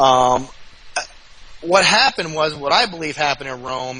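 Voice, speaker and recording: A man with an American accent speaks at a moderate pace in a fairly high pitch. Noticeable background noise is present. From New Jersey. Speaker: guest, website host. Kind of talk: podcast interview discussion. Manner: halting, stuttering.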